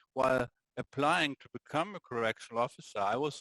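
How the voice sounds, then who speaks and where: A man's pitch varies in an ordinary way. The sound is close and dry, without echo. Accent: German. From Germany. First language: German. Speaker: prison governor. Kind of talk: interview.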